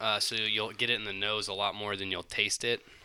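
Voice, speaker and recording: A man with a Southern US accent and a bright, sharp tone, at a fairly quick pace, on a very clean recording with a silent background. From Alabama, US South. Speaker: paramedic. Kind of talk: casual chat.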